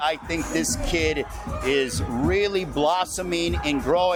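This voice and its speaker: Over music in the background, a man with an American accent talks at a fairly slow pace, his high pitch carrying lively intonation. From Chicago. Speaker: boxing ring announcer. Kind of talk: interview answer. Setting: live event venue.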